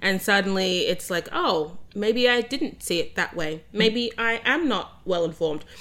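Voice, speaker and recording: Speaking at a fairly slow pace with an Australian accent, a woman at a medium pitch has a bright, sharp tone, lively intonation and hardly any pauses. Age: 20s. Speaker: podcast co-host. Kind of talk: casual chat.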